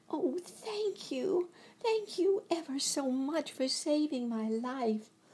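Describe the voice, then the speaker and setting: Using a squeaky, put-on character voice, a woman speaks very slowly at a high pitch. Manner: grateful.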